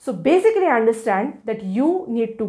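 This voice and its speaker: With a Marathi accent and very wide pitch swings, a woman speaks on a very clean recording with a silent background. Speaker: law educator. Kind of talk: tutorial. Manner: halting.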